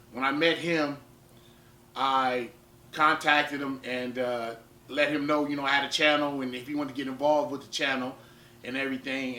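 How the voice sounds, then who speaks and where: Over noticeable background noise, a man talks at a fairly quick pace. His medium-pitched voice stays monotone, with flat intonation. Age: 30s. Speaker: powerlifter and fitness vlogger. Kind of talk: vlog talk to camera. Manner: repetitive, halting with fillers.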